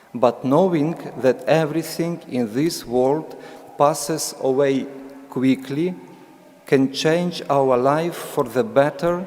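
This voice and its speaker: A man speaks very slowly with a Ukrainian accent, his pitch fairly high and his intonation fairly even. Noticeable background noise sits under his voice. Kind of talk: sermon. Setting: church. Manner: reading aloud, halting with fillers.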